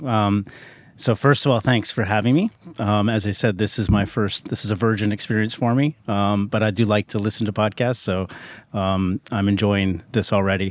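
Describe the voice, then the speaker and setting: Speaking with an American accent, a man uses a fairly low pitch and fairly even intonation at a moderate pace, on a very clean recording with a silent background. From US West, Park City, Utah. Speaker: retail company CEO. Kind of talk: podcast interview. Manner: hesitant, many fillers.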